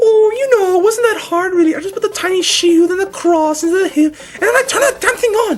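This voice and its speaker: At a fairly quick pace, someone uses a put-on character voice pitched extremely high. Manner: cartoonish, comedic.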